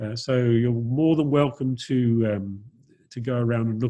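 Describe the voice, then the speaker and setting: A dark, mellow, somewhat breathy male voice. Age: 60s. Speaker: dive centre operator. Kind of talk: Q&A on video call. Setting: video call. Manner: halting, many fillers. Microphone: low bandwidth connection.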